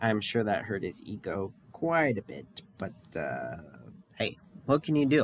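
The speech moves at a fairly slow pace with long, frequent pauses. Its pitch swings very widely. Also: man, medium pitch for a man. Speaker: podcast co-host. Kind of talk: casual chat.

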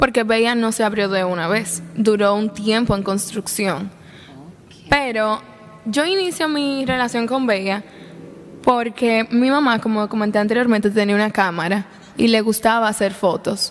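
Through noticeable background noise, a woman speaks with fairly high pitch and ordinary pitch variation. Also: moderate pace. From Dominican Republic, La Vega. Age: 20s. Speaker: young entrepreneur. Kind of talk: interview conversation.

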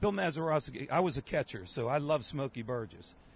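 With an American accent and lively intonation, a man speaks at a moderate pace in a fairly high pitch with vocal fry, the sound dry and close with no echo. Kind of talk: casual chat.

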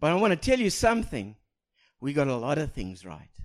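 A man talks with a South African accent. His pace is moderate and his pitch swings very widely. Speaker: pastor. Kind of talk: sermon. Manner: halting, repeats words.

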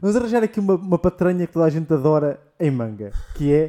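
A man talks very fast in a high voice with a dark, mellow tone. His intonation is lively, and the sound is dry and close with no echo. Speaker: podcast host. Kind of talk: casual chat.

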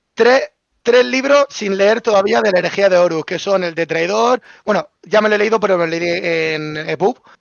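Lively in intonation, a man speaks at a moderate pace in a high voice for a man. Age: young. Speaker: content creator. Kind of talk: casual chat.

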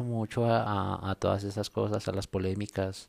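A man's fairly low voice in monotone, flat intonation at a fairly slow pace, with a dry, close sound and no echo in a very clean recording with a silent background. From Colombia. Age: 30s. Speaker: podcaster. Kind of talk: casual monologue. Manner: modulated radio-style delivery.

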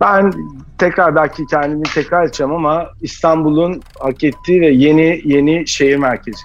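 In a plain, everyday voice, a man with a fairly high pitch talks at a moderate pace, his intonation fairly even and his loudness very even. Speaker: chef and restaurant executive. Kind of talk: casual interview.

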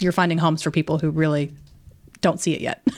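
A woman with an American accent and a fairly low pitch. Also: very clean recording, silent background. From southern Virginia (Danville). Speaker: magazine editor and podcast host. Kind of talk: casual interview. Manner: animated.

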